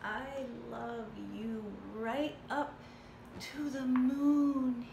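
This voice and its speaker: A woman's high, put-on character voice at a very slow pace, with slight echo and clear background noise. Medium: read story. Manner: eager, earnest.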